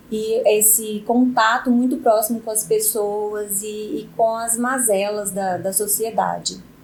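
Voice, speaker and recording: A woman's fairly high, monotone voice with a Minas Gerais accent, fairly slow, with audible room echo. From Minas Gerais, Brazil. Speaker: lawyer. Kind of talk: podcast interview.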